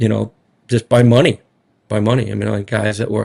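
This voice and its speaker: Fairly quick, monotone, flat delivery in a strong Rhode Island accent. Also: man. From Rhode Island (Smithfield). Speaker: college basketball head coach. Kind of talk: media interview. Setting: media day. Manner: casual, filler-heavy.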